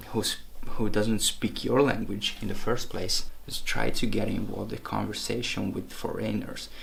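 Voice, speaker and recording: With a non-native accent, a man speaks at a moderate pace, and audible room echo surrounds his voice. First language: not English. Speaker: language-learning vlogger. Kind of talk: tutorial. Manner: casual, with hesitations.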